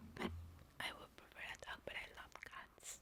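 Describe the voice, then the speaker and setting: Whispering in a Spanish accent. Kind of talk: ASMR whispered personal Q&A to camera. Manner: soft, whispered, hesitant with pauses.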